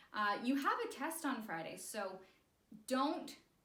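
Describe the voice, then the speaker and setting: A woman's high-pitched voice in an upbeat tone, with audible room echo. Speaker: elementary school teacher. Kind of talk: recorded math lesson for pupils. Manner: upbeat, encouraging.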